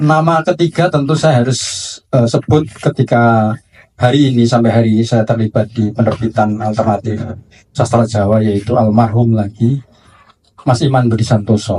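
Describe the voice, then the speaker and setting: A man speaks at a medium pitch with a dark, mellow tone, somewhat breathy and with ordinary pitch variation. His pace is moderate and his loudness very even. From Java, Indonesia. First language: Javanese (speaking Indonesian). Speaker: book publisher. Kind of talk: panel discussion. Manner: halting.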